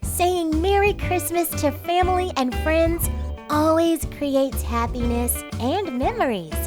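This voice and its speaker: A female-sounding, cartoonish character voice speaks at a fairly slow pace as clear music plays in the background. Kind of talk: children's holiday greeting narration. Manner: cheerful, warm.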